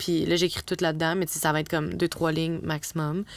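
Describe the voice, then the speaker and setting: On a very clean recording with a silent background, a woman speaks in a Quebec accent. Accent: Québécois French. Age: young. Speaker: advertising copywriter. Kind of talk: casual chat.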